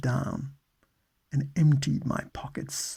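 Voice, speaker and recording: Soft-spoken and calm in tone, a man with a British accent talks at a very slow pace in a medium pitch. His somewhat breathy voice has a dark, mellow tone and fairly even intonation. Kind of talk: ASMR audiobook reading. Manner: calm, soft, meditative.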